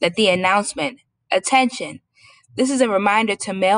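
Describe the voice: A quiet backdrop behind plain reading aloud, pitch varying in an ordinary way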